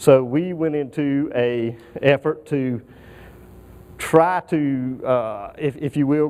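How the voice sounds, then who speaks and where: A man with a Southern US accent speaks at a fairly high pitch. His tone is dark and mellow, and his intonation stays fairly even. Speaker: aerospace engineering manager. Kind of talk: conference presentation. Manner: halting, many fillers.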